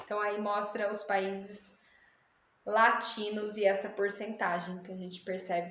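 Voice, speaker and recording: There is noticeable noise in the background. A woman talks throughout. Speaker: geography teacher. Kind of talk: online lesson. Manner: casual.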